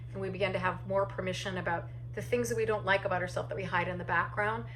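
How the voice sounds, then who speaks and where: Both audible room echo and noticeable background noise are present in this clip. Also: woman. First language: deaf or hard of hearing; uses sign language. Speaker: solo theatre artist and actor. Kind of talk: casual talk giving tips. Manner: animated; halting with fillers.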